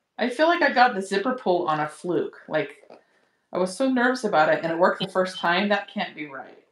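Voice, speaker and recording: Over audible room echo, a woman talks at a fairly quick pace, her medium-pitched voice carrying lively intonation. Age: 40s. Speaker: beginner sewer, host's sister; host's sister. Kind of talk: casual chat while sewing along. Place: home room.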